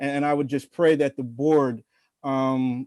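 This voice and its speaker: In a dry, close recording with no echo and a quiet background, a man with an American accent speaks slowly in a fairly high pitch, his tone dark and mellow and his intonation monotone and flat. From New Jersey. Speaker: public commenter. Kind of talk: public comment at a hearing. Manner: formal; hesitant with fillers.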